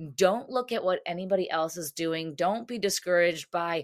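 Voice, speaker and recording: In an American accent, a woman with an unremarkable speaking voice talks at a moderate pace with a fairly low pitch and ordinary pitch variation, recorded very cleanly against a silent background. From United States. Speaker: dietitian and running coach. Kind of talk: interview.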